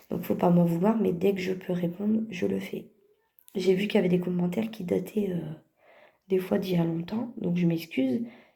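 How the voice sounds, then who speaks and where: A woman speaks at a moderate pace in a medium pitch with a dark, mellow tone, somewhat breathy and fairly even in intonation, with audible room echo around her. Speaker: vlogger and mother. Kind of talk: casual vlog address to viewers.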